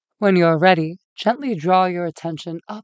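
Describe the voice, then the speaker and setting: A woman's plain, everyday voice, fairly low, with ordinary pitch variation. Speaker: meditation guide. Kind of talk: guided meditation. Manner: slow, soothing, gentle; calm, measured, with long pauses.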